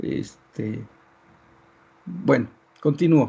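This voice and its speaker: A man's dark, mellow, somewhat breathy voice. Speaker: university lecturer. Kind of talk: online lecture. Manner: hesitant, many fillers. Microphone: poor internet connection, audio breaking up.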